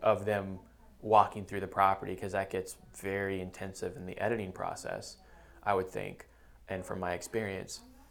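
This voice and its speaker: At a moderate pace, a man talks in a fairly low pitch with a plain, everyday voice. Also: big swings in loudness. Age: 30s. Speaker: real estate agent and podcast host. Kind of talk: casual interview chat.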